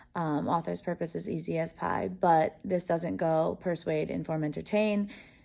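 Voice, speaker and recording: A woman's fairly low voice, dark and mellow in tone, with ordinary pitch variation at a moderate pace. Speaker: teacher vlogger. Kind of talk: casual vlog talk.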